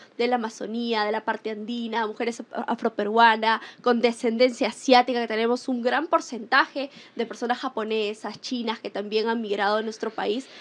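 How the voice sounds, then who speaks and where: A woman with a fairly high pitch at a moderate pace, against a quiet background. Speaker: talk show host. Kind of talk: panel interview.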